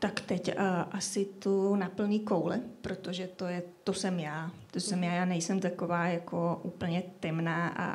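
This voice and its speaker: At a fairly slow pace, a woman speaks in a somewhat breathy voice with fairly even intonation. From Czechia, Šumava region. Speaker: novelist. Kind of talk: live podcast interview. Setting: café with live audience.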